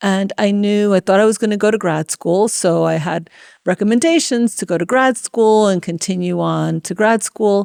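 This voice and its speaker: A woman with a Spanish accent talks at a moderate pace and medium pitch. Her pitch variation is ordinary, and the sound is dry and close with no echo. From New York City, Washington Heights (Dominican family). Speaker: tech executive. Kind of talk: interview. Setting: conference venue.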